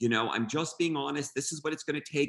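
A man speaks in a normal speaking voice, pitched fairly high. His pitch moves in an ordinary way. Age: 50s. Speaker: event designer and florist. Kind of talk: interview.

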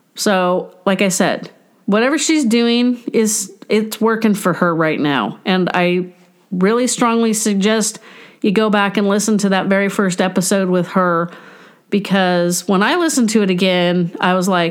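A woman's medium-pitched voice at a moderate pace, with ordinary pitch variation and very even loudness. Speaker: podcast host and family caregiver. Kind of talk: solo podcast monologue. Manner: self-described as tripping over words.

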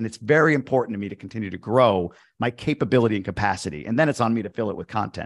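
Talking at a very fast pace, a man shows ordinary pitch variation in a dry, close sound with no echo. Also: quiet background. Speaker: investor and podcast host. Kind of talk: interview. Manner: high energy.

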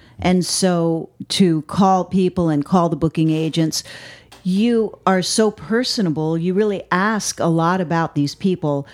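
With an American accent, a woman talks at a fairly slow pace in an ordinary speaking voice, her fairly low pitch showing ordinary pitch variation. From US Northeast, Connecticut. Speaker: musician in a world music band. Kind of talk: casual chat.

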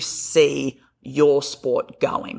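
Here is a man speaking. He has an Australian accent. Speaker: physiotherapist. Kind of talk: interview.

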